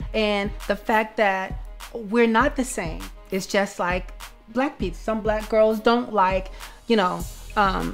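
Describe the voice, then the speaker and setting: With faint music in the background, a woman talks at a fairly slow pace with ordinary pitch variation. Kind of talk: interview answer. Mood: earnest, reflective. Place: home room.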